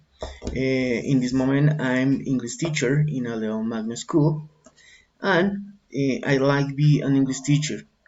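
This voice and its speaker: A man with a Colombian accent speaks at a fairly slow pace. His pitch is fairly high, with ordinary pitch variation. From Colombia, Bogota. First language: Spanish. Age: 40s. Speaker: English teacher and learner. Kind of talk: student self-introduction presentation. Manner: halting, with fillers.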